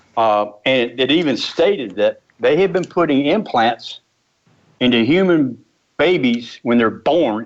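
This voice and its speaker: The speaker uses lively intonation. The pace is fairly slow. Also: man. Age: 60s. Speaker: author. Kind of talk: interview. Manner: halting.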